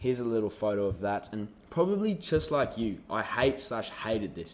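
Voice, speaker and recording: Lively intonation at a moderate pace, with an Australian accent. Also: man, medium pitch for a man. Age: young. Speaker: online business coach. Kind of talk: sales pitch.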